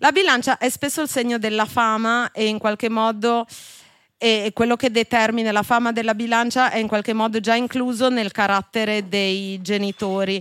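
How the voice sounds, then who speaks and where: On a very clean recording with a silent background, a woman with an unremarkable speaking voice talks at a moderate pace, with a fairly high pitch and fairly even intonation. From Genoa, Italy. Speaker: podcast host, astrologer. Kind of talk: live podcast interview. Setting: live show in a wine bar with audience.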